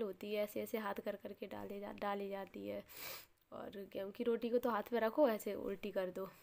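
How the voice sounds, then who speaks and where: Her tone dark and mellow, a woman speaks at a moderate pace. Her intonation is fairly even. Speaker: vlogger. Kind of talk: casual vlog narration. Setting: at home.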